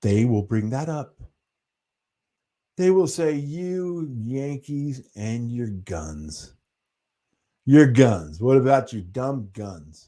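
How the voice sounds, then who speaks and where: In a very clean recording with a silent background, a man at medium pitch talks at a very slow pace, with a dark, mellow tone, very wide pitch swings, big swings in loudness and long, frequent pauses. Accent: American. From US Northeast, New Hampshire. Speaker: livestream host. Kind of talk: casual chat. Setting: livestream. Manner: animated.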